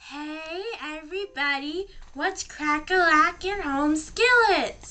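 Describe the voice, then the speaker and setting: Speaking very slowly, a woman uses a put-on character voice. Her pitch sits extremely high. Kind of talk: street slang. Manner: mock-tough.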